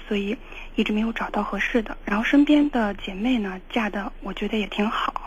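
Fairly quick speech from a woman, fairly high in pitch, with ordinary pitch variation. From Shaanxi. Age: 20s. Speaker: caller seeking relationship advice. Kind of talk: call-in advice conversation. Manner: hesitant, with fillers.

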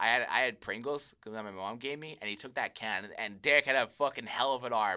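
A man speaks with a Canadian accent at a fairly quick pace. His tone is bright and sharp, with ordinary pitch variation. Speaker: podcast co-host. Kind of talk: casual chat.

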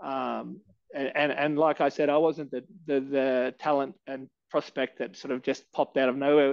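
The voice has an Australian accent and a moderate pace. Its intonation is flat and monotone. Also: man, fairly high pitch for a man. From Australia, Canberra. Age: 30s. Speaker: MMA fighter and gym head coach. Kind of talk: casual interview chat. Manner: halting, many fillers.

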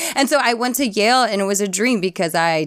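A woman talks in a normal speaking voice. Her pace is fairly quick, with ordinary pitch variation. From US, Filipino-American family. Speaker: actor. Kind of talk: casual interview.

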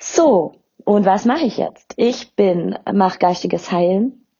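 A woman's voice is somewhat breathy, with ordinary pitch variation. She talks at a fairly slow pace. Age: 30s. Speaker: podcast host and spiritual medium. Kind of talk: personal introduction monologue.

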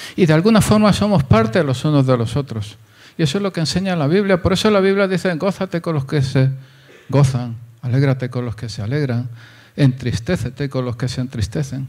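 Somewhat breathy, a man talks at a fairly quick pace. His pitch is fairly high and his intonation lively. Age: 60s. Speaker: pastor. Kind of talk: sermon.

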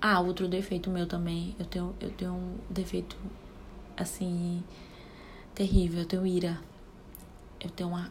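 A woman talks at a medium pitch and moderate pace. Her voice is somewhat breathy, with monotone, flat intonation. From Brazil, Ceará (Caucaia, near Fortaleza). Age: 20s. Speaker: podcast host, mother. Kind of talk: casual solo chat. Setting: home bathroom.

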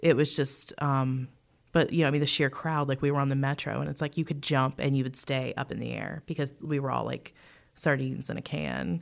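A woman with an American accent, very deep and low in pitch, with vocal fry, fairly even intonation and a fairly quick pace. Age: 30s. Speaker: co-host. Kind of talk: casual chat. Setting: studio.

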